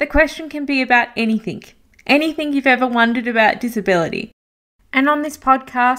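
A woman's high-pitched voice in an Australian accent at a fairly quick pace. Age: 30s. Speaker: podcast host. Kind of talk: scripted podcast introduction.

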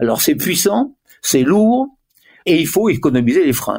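This man's voice sits high and sweeps through very wide pitch swings at a moderate pace. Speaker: former motorsport tyre manager. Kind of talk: interview. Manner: halting.

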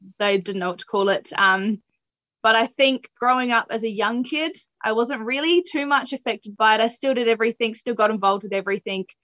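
With a New Zealand accent, a woman talks at a fairly quick pace in a fairly high, bright, sharp voice with ordinary pitch variation, recorded with a dry, close sound and no echo. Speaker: para athlete. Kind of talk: interview. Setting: remote call.

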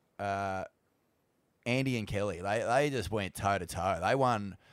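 A man's fairly low voice with an Australian accent, ordinary pitch variation and a fairly slow pace, in a very clean, dry, close recording with a silent background and no echo. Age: 40s. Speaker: podcast host. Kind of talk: casual interview.

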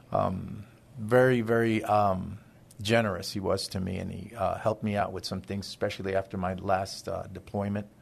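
A man with an American accent speaks at a fairly low pitch. His intonation is monotone and flat, and the background is quiet. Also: moderate pace. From Honduras, then Brooklyn, New York. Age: 60s. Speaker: charity marketing director. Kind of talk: casual interview chat. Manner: halting, many fillers.

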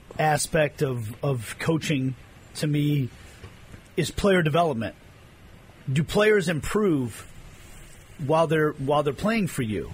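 His speech is fairly slow and somewhat breathy, with long, frequent pauses. The man's pitch is fairly high and his intonation lively. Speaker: radio host. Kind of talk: sports talk radio show.

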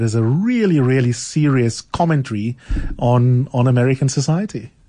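A man at medium pitch speaks in a somewhat breathy voice. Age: 40s. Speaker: radio talk show host. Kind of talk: radio talk show discussion. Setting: studio. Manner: warm, enthusiastic.

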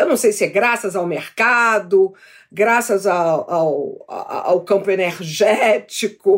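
A woman with an ordinary speaking voice talks at medium pitch. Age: 60s. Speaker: TV presenter and YouTuber. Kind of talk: casual chat. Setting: video call.

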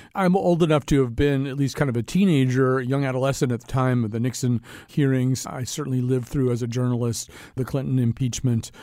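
Speaking at a very fast pace, a man has a dark, mellow tone on a very clean recording with a silent background. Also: medium pitch for a man, ordinary pitch variation. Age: 60s. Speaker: radio show and podcast host. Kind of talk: interview and political discussion. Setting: studio.

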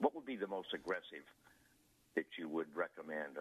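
Lively intonation carries a man's very deep, low voice, touched with vocal fry. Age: 80s+. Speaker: retiree. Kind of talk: call-in question. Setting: phone call. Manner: halting.

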